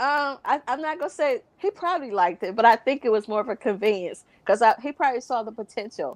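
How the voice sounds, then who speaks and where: Very fast, lively speech from a woman with an American accent, high-pitched, hardly any pauses, dry and close with no echo. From US South. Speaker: gospel radio music director. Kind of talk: casual interview.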